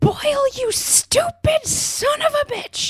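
A put-on character voice, extremely high and shrill, speaks at a very slow pace. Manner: yelling, scolding.

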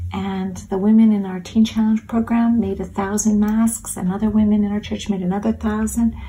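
A woman speaks at a fairly quick pace. She leaves hardly any pauses. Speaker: missionary. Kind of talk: testimony. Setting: recorded video message.

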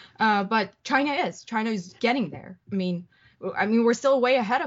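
Her pace fairly quick, a woman speaks with pitch that shifts by normal amounts. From Iran. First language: Persian. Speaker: columnist and journalist. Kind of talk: casual interview chat.

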